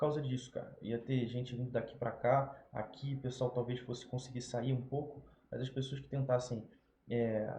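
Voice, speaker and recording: A man's medium-pitched, dark, mellow and somewhat breathy voice in a Rio de Janeiro accent, monotone and flat, with big swings in loudness. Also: moderate pace. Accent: carioca (Rio de Janeiro). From Brazil, Rio de Janeiro. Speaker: YouTuber. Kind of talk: casual unscripted commentary. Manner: casual, filler-heavy.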